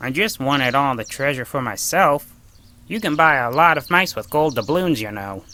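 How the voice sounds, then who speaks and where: This cartoonish character voice sits at a low-to-middle pitch and moves at a moderate pace. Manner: grumbling, self-centred.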